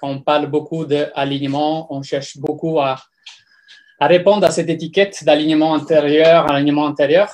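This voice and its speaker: At a moderate pace, a man with an Italian accent talks in a fairly high, monotone voice with flat intonation. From Italy. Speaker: personal development coach. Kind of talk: talk on personal growth. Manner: halting, many fillers.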